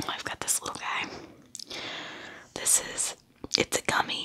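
Soft-spoken and whispering, a woman talks at a fairly slow pace. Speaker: ASMR creator. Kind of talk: soft casual ASMR chat. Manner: soft ASMR whisper close to mic. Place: home room. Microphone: studio mic.

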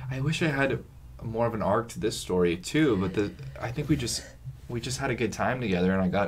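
Quiet and mumbling, a man with an American accent speaks with lively intonation. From California (San Diego). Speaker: actor. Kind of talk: casual chat. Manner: quiet talker, mumbler.

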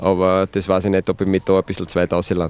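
Here a man talks with a Styrian accent. His voice sounds dry, with no echo. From Styria, Austria. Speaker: football coach. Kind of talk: interview. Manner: hesitant, many fillers. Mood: relaxed, smiling. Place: open country. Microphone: handheld.

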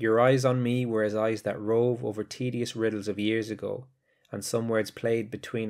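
The delivery is solemn, at a moderate pace, with monotone, flat intonation. The recording is very clean, with a silent background. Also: man. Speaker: English teacher. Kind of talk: educational podcast lecture, with a poem read aloud. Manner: clear, measured teacherly delivery; measured, solemn, grave reading with pauses at line breaks.

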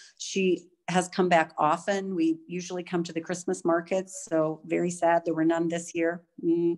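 A woman with a fairly low voice speaks in a flat monotone at a moderate pace, hardly pausing, against a quiet background. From United States. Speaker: diplomat. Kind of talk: panel discussion. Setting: video call. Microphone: video call.

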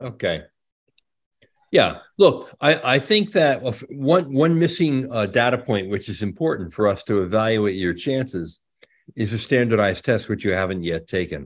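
Speaking at a moderate pace over a quiet background, a man with a medium pitch makes very wide pitch swings. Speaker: education journalist host. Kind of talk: casual interview chat. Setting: video call. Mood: warm, encouraging. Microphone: video call.

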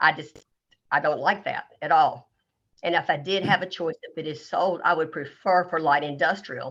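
Fairly even intonation carries this fairly quick delivery. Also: woman. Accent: North Carolina. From US South. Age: 60s. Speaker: local resident making public comment. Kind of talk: public comment. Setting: video conference or phone call.

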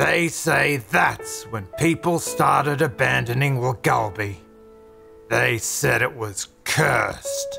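Over clear background music, a man in a put-on character voice talks very slowly at a medium pitch. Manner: ominous, grim.

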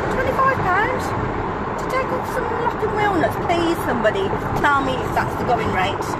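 Against loud background noise, a woman speaks at a moderate pace in a dry sound with no echo. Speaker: vlogger. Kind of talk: casual vlog chat. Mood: indignant, chatty. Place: car. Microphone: phone near.

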